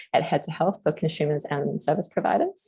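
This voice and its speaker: The delivery comes at a fairly quick pace. An Australian accent is heard. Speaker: community services co-design practitioner. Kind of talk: presentation at online forum. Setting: online meeting. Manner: fast.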